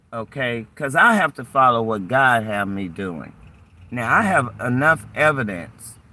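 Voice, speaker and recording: A man with an American accent speaks at a medium pitch and a fairly slow pace. His tone is bright and sharp, with lively intonation. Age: 60s. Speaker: channel owner, retiree. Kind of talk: heated argument with police officer. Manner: animated.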